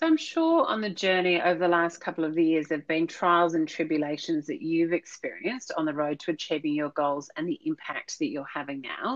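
A woman with a plain, everyday voice talks at a fairly quick pace with hardly any pauses, a fairly low pitch and ordinary pitch variation. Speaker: podcast host. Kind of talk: interview.

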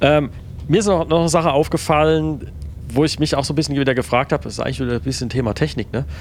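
Talking at a very fast pace, a man with a fairly high pitch and vocal fry shows ordinary pitch variation. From Palatinate, Germany. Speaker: podcast co-host. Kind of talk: casual chat.

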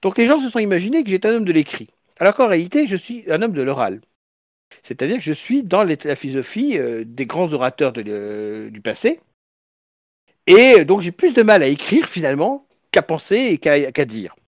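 Speaking at a moderate pace with long, frequent pauses, a high-pitched man shows very wide pitch swings and big swings in loudness in a dry, close recording with no echo. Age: 40s. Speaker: political party leader. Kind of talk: interview.

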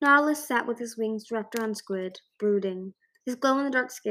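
An unforced reading voice, with ordinary pitch variation, is heard against a quiet background.

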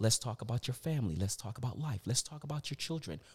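Somewhat breathy male speech at medium pitch with lively intonation, in a very clean, silent recording with a dry, close sound and no echo. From US, Virginia. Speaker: motivational speaker. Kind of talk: casual interview chat.

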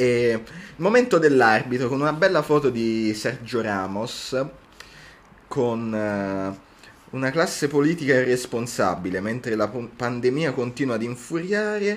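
A man talks at a fairly slow pace in a medium pitch, with lively intonation. His speech has long, frequent pauses. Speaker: university student podcast co-host. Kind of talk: casual chat. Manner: animated.

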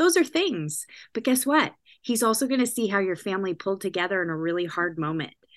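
A woman talks at a fairly quick pace in a Californian accent. Her pitch swings very widely. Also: quiet background. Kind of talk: podcast interview.

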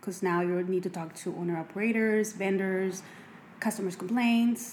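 Over noticeable background noise, a woman with a Mexican accent talks fairly quickly at a medium pitch with fairly even intonation. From Mexico. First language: Spanish. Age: 30s. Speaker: makeup artist and cosmetics entrepreneur. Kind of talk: casual interview.

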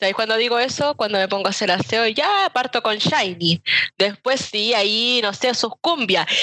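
An unremarkable speaking voice from a woman, fairly high in pitch, with a moderate pace, ordinary pitch variation and very even loudness. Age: 20s. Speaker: podcast panelist. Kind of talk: casual chat.

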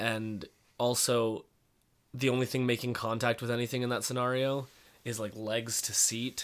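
The man's voice sits at a medium pitch. It stays flat and monotone. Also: moderate pace. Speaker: podcast co-host. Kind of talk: casual chat.

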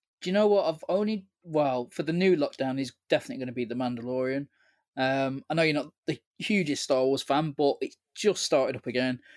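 A man with an English accent at a fairly quick pace, ordinary pitch variation, and a dry, close sound with no echo. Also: fairly high pitch for a man. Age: 30s. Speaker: podcast co-host. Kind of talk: casual chat. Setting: remote recording, online.

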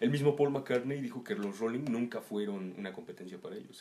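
Over noticeable background noise, a man talks at a fairly quick pace, medium in pitch with ordinary pitch variation. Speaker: musician. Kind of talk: casual chat.

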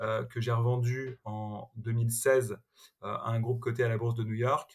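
Somewhat breathy and at medium pitch, a man speaks at a very slow pace. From Paris suburbs, France. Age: 30s. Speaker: tech entrepreneur. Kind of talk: interview. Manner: hesitant, frequent repetitions and fillers.

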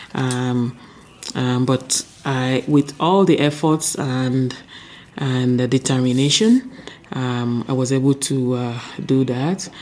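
Noticeable background noise sits behind a woman with a very deep, low voice. She talks at a very slow pace with fairly even intonation. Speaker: chief medical officer, preventive medicine doctor. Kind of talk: casual interview.

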